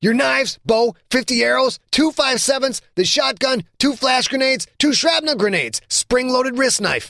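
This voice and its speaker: A man does a put-on character voice at an extremely high pitch, keeping a moderate pace with hardly any pauses and very even loudness. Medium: read story. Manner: slangy, says "yo".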